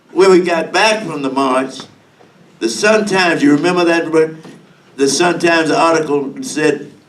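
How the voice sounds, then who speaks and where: Over noticeable background noise and audible room echo, a man speaks with ordinary pitch variation. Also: fairly high pitch for a man, moderate pace. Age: 90s. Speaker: civil rights veteran. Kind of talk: testimony. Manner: halting.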